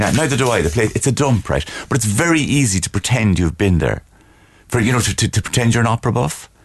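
In a Cork accent, a man talks at a very fast pace with lively intonation and vocal fry at a medium pitch. His loudness stays very even over a quiet background. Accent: posh Cork. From Cork, Ireland (Blackrock Road). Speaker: comedian. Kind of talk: comic in-studio banter. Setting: studio. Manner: haughty, affected.

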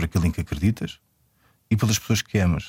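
Recorded very cleanly against a silent background, a man speaks at a very fast pace with vocal fry, and the sound is dry and close with no echo. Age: 40s. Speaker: filmmaker. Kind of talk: interview. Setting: radio studio. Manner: halting.

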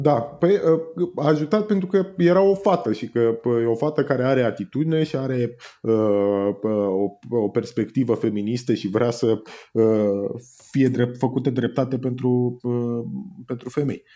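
Speaking at a fairly slow pace, a man uses lively intonation at medium pitch in a dark, mellow tone. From Romania, Danube Delta (Tulcea county). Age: 30s. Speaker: copywriter and comedian. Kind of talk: casual interview.

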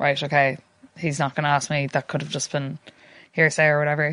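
At a very fast pace, a woman with a Connacht accent speaks in a bright, sharp tone over a quiet background. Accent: Irish (Connacht). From Ireland, coastal Sligo. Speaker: stalking survivor and campaigner. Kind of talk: personal testimony in interview.

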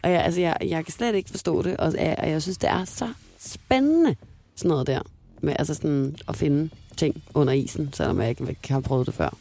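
A dark, mellow tone with lively intonation at a moderate pace. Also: woman, very deep, low pitch for a woman. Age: 20s. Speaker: radio host. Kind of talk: casual chat. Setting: studio.

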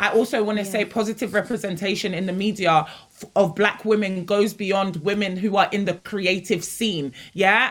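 An ordinary speaking voice at a fairly quick pace, with ordinary pitch variation. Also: woman. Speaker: youth organisation founder. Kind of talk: roundtable discussion.

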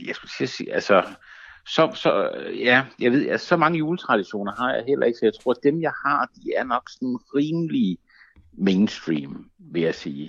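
The speech comes at a fairly slow pace in a dry, close sound with no echo. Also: man. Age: 40. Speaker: stand-up comedian. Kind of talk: casual interview chat. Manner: halting, many fillers and repeats.

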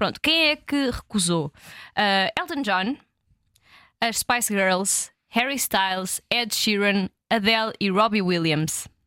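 With a European Portuguese accent, a woman speaks at a very slow pace in a bright, sharp tone, her medium pitch rising and falling in lively intonation at very even loudness, on a very clean recording with a silent background and a dry, close sound with no echo. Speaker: podcast co-host. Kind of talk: casual chat.

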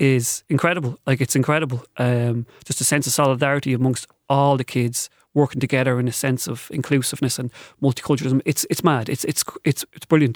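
In a Dublin accent, a man talks fairly quickly at medium pitch with fairly even intonation and a dry, close sound with no echo. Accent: Dublin Irish. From Ireland, north Dublin (Balbriggan). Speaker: novelist and secondary school teacher. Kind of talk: radio interview.

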